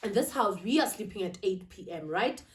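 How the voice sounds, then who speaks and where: In a Zulu accent, a woman speaks at a fairly slow pace with a medium pitch, a somewhat breathy voice and lively intonation. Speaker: lifestyle vlogger. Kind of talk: sit-down vlog monologue. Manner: casual, code-switching.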